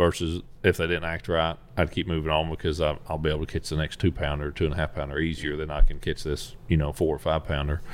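In a Tennessee accent, a man talks at a very fast pace. His very deep, low voice stays monotone and flat. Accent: US Southern (Tennessee). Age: 30s. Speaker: professional bass angler. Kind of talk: casual interview.

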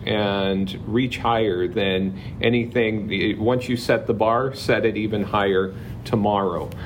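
Over noticeable background noise, someone speaks at a fairly slow pace with fairly even intonation and an American accent. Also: man. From Southern California (Palm Springs area). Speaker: high school counselor. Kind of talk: casual interview chat. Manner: talkative.

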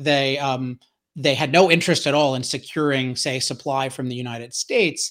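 On a very clean recording with a silent background, a man speaks at a moderate pace and a fairly high pitch in a bright, sharp tone. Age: 40s. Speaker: energy author and commentator. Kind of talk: interview conversation.

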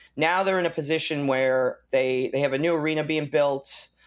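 A man's plain, everyday voice, fairly high in pitch, with an American accent, moderate pace, and ordinary pitch variation, on a very clean recording with a silent background. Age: 30s. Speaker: punk rock musician. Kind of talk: casual interview.

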